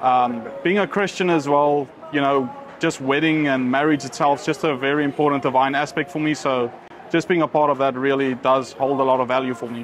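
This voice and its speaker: Over noticeable background noise, a man with a fairly high pitch speaks at a fairly quick pace with fairly even intonation. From South Africa, Cape Town area. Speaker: wedding photographer. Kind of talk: casual interview. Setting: restaurant.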